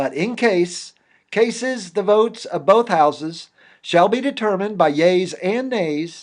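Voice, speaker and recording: A man's fairly slow pace and lively intonation. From Indiana, USA. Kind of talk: reading of a founding legal document. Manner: forceful.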